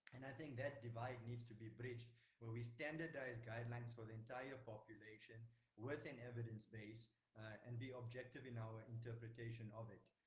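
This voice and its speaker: Talking at a fairly quick pace, a man with a medium-pitched, somewhat breathy voice keeps a monotone, flat intonation amid audible room echo. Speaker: doctor. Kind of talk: panel discussion. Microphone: quiet, hard to hear.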